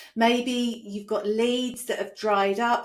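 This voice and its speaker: A woman with a British accent and fairly even intonation. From UK. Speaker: business coach. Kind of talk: online training presentation. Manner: conversational.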